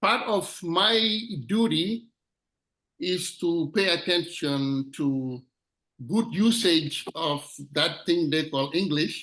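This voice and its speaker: This man, with a non-native accent, speaks at a very slow pace with long, frequent pauses and very even loudness. His high pitch, bright, sharp tone and lively intonation stand out. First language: not English. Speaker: club member, grammarian. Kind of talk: meeting role introduction.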